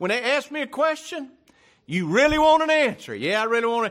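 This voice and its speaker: Man with a Louisiana accent, bright and sharp in tone, lively intonation at a fairly quick pace, on a very clean recording with a silent background. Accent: Southern US (Louisiana). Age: 60s. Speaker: pastor. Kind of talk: sermon. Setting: church.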